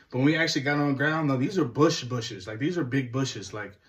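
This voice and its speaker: A man speaks at a very fast pace in a fairly high pitch. His voice is somewhat breathy. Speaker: hunting vlogger. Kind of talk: casual first-person story recap.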